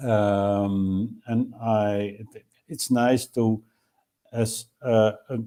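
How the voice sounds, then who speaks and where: In a Dutch accent, a man speaks very slowly at a medium pitch, his dark, mellow tone flat and monotone while his loudness swings widely. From Netherlands. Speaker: time capsule organizer. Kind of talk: interview. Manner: halting, many fillers.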